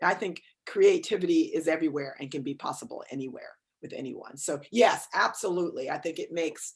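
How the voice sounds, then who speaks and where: A woman with an American accent, at a fairly quick pace, in an animated tone, with big swings in loudness. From New York, Westchester County. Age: 60s. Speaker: author and cultural geographer. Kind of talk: interview conversation. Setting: video call.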